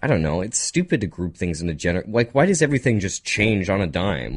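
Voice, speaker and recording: A man's very fast speech with vocal fry and very wide pitch swings. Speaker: radio host. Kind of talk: casual chat. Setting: studio.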